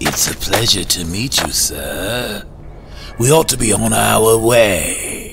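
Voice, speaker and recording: A man speaks in a put-on character voice, fairly low in pitch and very slow. Clear background noise runs underneath. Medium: audio drama. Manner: smooth, falsely friendly, sly.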